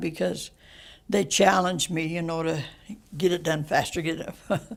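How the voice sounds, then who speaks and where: This woman has an American accent and a fairly low pitch with vocal fry. She talks fairly slowly, with ordinary pitch variation. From Western United States. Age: 80s+. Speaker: retired coal miner. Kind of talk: interview answer.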